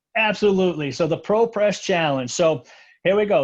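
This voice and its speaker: The background is quiet. A man talks at a fairly quick pace with ordinary pitch variation. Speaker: technical trainer. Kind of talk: live webinar chat. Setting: live stream. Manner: fast.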